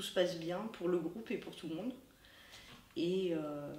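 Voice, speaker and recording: Fairly slow, fairly low-pitched female speech amid noticeable background noise and audible room echo. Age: 40s. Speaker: festival volunteer guide. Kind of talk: interview. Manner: hesitant, many fillers.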